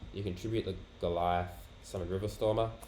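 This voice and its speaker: Music is heard behind the voice. A man speaks at a moderate pace. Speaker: card game player. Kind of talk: casual talk to camera.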